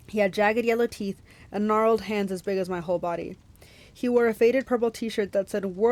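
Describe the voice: With fairly even intonation, the text is given a plain reading aloud.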